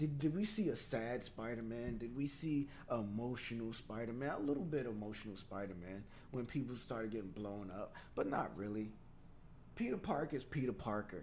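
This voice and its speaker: There is audible room echo around a man speaking at a medium pitch. His tone is animated, with ordinary pitch variation. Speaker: gaming show host. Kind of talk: casual gaming news commentary. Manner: fast.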